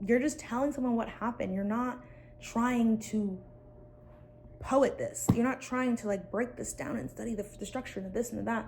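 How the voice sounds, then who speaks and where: Lively intonation and vocal fry mark this woman's voice. She talks fairly quickly at a fairly high pitch. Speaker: content creator vlogger. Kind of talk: casual talking-head vlog. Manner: fast; animated.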